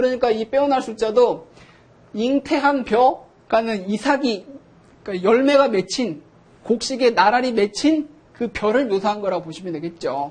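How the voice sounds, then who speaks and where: A man speaks at an extremely high pitch. His intonation is lively and his pace moderate. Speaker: professor. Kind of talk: lecture.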